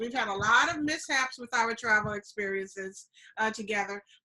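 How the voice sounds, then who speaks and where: A woman speaks very fast in a Southern US accent. Her pitch is fairly high. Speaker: travel show host. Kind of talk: casual chat.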